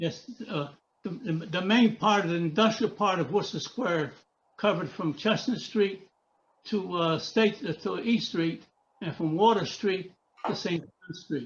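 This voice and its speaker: Talking at a fairly slow pace, a man with an American accent uses a high pitch with ordinary pitch variation. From US Northeast. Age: 90s. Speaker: author. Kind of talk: interview. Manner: halting.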